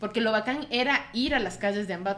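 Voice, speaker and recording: In an unremarkable speaking voice, a woman talks at a fairly quick pace with lively intonation and a fairly high pitch. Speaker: bookstore co-host. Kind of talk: casual chat. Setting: bookstore studio.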